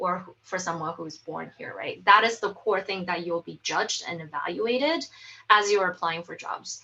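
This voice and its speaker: A woman with a non-native accent speaks at a moderate pace and medium pitch, her tone bright and sharp. Her pitch varies in an ordinary way, while her loudness swings widely. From outside the US. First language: not English. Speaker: UX research manager. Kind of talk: panel discussion. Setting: video call.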